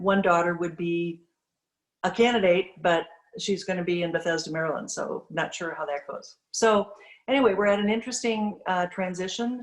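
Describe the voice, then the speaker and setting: Here a woman speaks with an Upper Midwest accent at a moderate pace. Her pitch is fairly low. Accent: Upper Midwest (Minnesota). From Minnesota. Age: 60s. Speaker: bank president. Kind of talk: presentation to a club. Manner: halting, many fillers.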